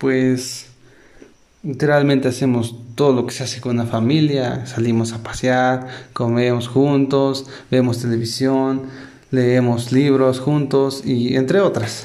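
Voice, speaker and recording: In a room with audible echo, a man speaks very slowly in a dark, mellow tone with monotone, flat intonation. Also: medium pitch for a man. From Puebla, Mexico. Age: 20s. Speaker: entrepreneur. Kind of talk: interview answers. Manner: hesitant.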